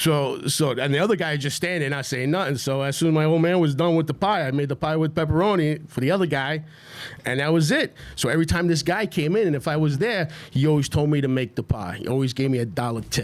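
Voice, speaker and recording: A man with a New York accent speaks at a very fast pace. His pitch is fairly high, with ordinary variation. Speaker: restaurant owner. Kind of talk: casual chat.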